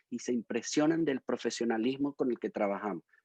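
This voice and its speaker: A man speaks in a Venezuelan accent at a medium pitch. His pace is moderate and his pitch variation ordinary. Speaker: musician and educator. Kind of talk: interview; casual chat.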